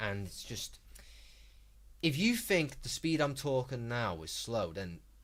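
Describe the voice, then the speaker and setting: In a very clean recording with a silent background, a man of medium pitch speaks at a fairly slow pace with vocal fry and lively intonation. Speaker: gaming streamer. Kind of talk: live stream chat and commentary. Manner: slow, unhurried delivery; calm.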